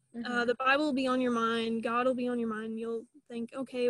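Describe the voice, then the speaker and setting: A woman speaks in a high pitch with an American accent. Her intonation stays flat and monotone. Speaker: recent college graduate, alumna. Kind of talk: casual interview chat.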